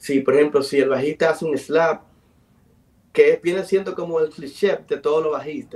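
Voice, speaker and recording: This man has a plain, everyday voice. His pitch is fairly high and his intonation lively. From Dominican Republic, south (Enriquillo); Dominican Republic. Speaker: musician and producer; guest. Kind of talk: interview. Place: home room. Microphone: video call.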